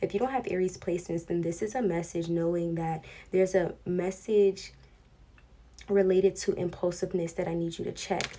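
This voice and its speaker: The woman's voice sits at a medium pitch and has a dark, mellow tone. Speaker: tarot reader. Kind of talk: tarot reading. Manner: casual, conversational.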